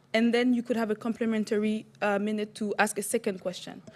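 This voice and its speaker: A woman with a Quebec accent talks at a fairly quick pace. Her fairly high voice stays flat and monotone. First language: French. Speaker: council chair. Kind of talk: chairing a council meeting. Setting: municipal council meeting.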